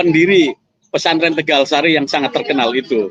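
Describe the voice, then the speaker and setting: The man speaking has a high-pitched voice. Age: 50s. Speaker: commentator. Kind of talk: monologue commentary. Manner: halting.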